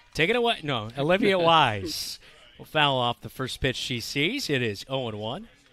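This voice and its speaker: Music plays behind a man whose fairly high voice has an animated tone, very wide pitch swings and big swings in loudness at a moderate pace. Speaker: play-by-play sports commentator. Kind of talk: live commentary. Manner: animated on big plays.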